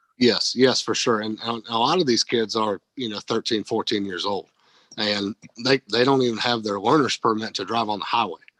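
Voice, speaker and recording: At a moderate pace and medium pitch, a man with an ordinary speaking voice keeps his intonation fairly even, the sound dry and close with no echo. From North Carolina (moved from upstate New York at nine). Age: 20s. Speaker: race team owner and developer. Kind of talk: podcast interview.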